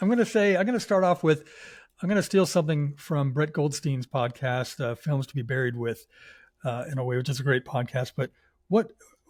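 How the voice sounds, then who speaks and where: Somewhat breathy delivery at a fairly quick pace, lively in intonation, on a very clean recording with a silent background. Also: man. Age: 60s. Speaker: podcast guest host. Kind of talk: casual interview chat.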